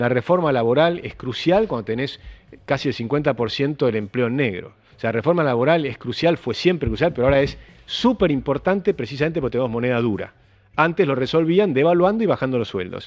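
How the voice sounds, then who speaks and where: The speaker has a Rioplatense accent and lively intonation. The words come at a very fast pace. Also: man, fairly high pitch for a man. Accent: Argentine Rioplatense Spanish. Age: 60s. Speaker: economist. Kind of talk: panel interview.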